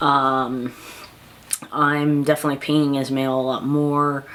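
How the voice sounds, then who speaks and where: Noticeable background noise runs under this recording. A man talks at a very slow pace with a fairly high pitch. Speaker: vlogger. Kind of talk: casual vlog monologue. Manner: halting, many fillers.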